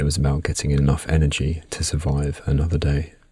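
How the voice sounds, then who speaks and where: Soft-spoken, with a British accent, a man with a very deep, low pitch talks at a moderate pace in a monotone, flat intonation. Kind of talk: ASMR sleep narration.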